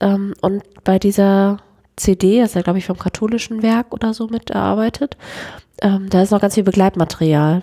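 Recorded very cleanly against a silent background, a woman with a dark, mellow tone talks at medium pitch with fairly even intonation. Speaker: church youth worker, podcast co-host. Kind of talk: casual chat.

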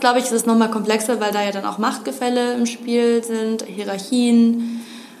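Noticeable background noise and audible room echo surround a woman speaking at a fairly high pitch with fairly even intonation. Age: 20s. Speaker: gender equality consultant. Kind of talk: interview.

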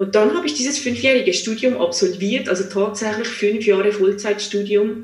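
The intonation is fairly even. Noticeable background noise and audible room echo are present. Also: woman. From Switzerland, small village. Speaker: psychologist and coach. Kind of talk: interview. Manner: hesitant, many fillers.

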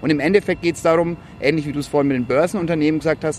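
A man talks very fast at a fairly high pitch. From Franconia, Germany (village near Ansbach). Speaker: social entrepreneurship network founder. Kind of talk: casual chat. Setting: outdoors on a rooftop terrace.

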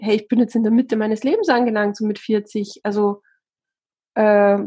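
A dark, mellow, somewhat breathy tone at a fairly quick pace, with monotone, flat intonation. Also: woman. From Austria. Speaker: TV presenter and author. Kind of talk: casual interview.

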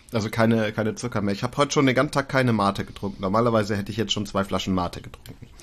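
This man's voice sits in a medium range, with normal pitch movement. Little can be heard behind him. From northern Germany, East Frisia. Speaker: podcast co-host. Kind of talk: casual chat. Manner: animated.

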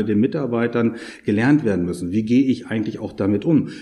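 A dark, mellow tone at a fairly quick pace. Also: man. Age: 50s. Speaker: tax advisor and auditor. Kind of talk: interview. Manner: formal.

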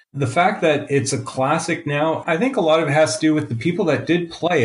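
Somewhat breathy male voice in a Canadian accent at a moderate pace. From Canada. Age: 50s. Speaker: game developer. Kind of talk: interview.

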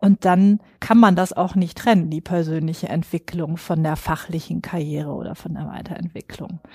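A woman talks at a moderate pace in a somewhat breathy, dark, mellow voice with fairly even intonation and big swings in loudness, the sound dry and close with no echo. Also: fairly low pitch for a woman, hardly any pauses. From northern Germany (Schwerin). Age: 40s. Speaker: psychologist and HR recruiting expert. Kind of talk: interview.

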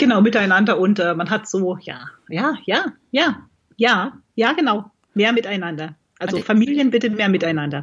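Somewhat breathy, a woman speaks at medium pitch and a moderate pace with lively intonation. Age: 40s. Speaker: blogger and amateur marathon runner. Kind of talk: casual interview.

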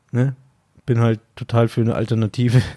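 The voice has a dark, mellow tone and a Bavarian accent. It moves at a moderate pace. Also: man. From Bavaria, suburb of Munich. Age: 30s. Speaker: podcast host. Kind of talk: casual chat.

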